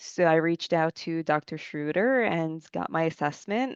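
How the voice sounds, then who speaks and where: A woman with an unremarkable speaking voice and a fairly low pitch speaks with lively intonation, in a dry, close sound with no echo against a quiet background. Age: 30s. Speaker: recruiting coordinator sharing lived experience. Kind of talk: podcast interview.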